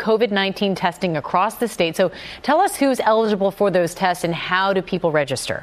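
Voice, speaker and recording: Female speech at medium pitch and a fairly quick pace, ordinary in pitch variation, over noticeable background noise. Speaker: news host. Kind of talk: live TV-style news interview. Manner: polished, brisk, formal.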